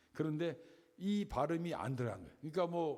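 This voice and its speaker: Audible room echo surrounds speech that moves at a fairly quick pace with lively intonation. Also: man. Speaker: Bible teacher. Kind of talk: Bible lecture.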